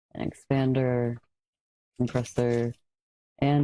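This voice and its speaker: The speaker talks quietly at a fairly slow pace. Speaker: content creator. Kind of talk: mic test tutorial.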